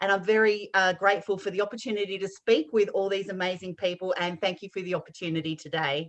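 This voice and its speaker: Speaking at a medium pitch, a woman talks in an Australian accent at a very fast pace. She barely pauses, and her intonation stays fairly even. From Western Australia. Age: 50s. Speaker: life coach and podcast host. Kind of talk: self-introduction.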